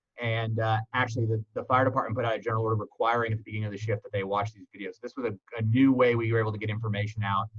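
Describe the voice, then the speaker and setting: In a flat monotone, a somewhat breathy man talks at a very fast pace with big swings in loudness, the sound dry and close with no echo. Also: medium pitch for a man. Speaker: EMS medical director. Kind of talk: presentation.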